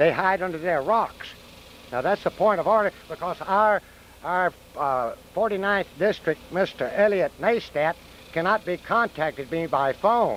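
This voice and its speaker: A man's high-pitched voice moves at a fairly slow pace, its pitch variation ordinary. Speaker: arborist and homeowner. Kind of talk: interview.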